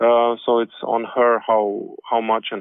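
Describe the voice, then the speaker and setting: A man speaks with a Slovene accent. His pace is very slow. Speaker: jazz saxophonist and composer. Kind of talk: interview. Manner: halting.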